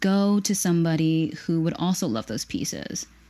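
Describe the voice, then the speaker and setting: A woman in an American accent speaks with a dark, mellow tone, fairly low in pitch, with ordinary pitch variation. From Pennsylvania, US. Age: 30s. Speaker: online vintage shop owner. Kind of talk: casual chat.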